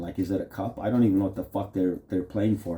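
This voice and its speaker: A man with a Canadian accent talks at a very fast pace, sounding somewhat breathy. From Canada. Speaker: vlogger. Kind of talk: casual rambling monologue. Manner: halting, stammering with fillers; animated.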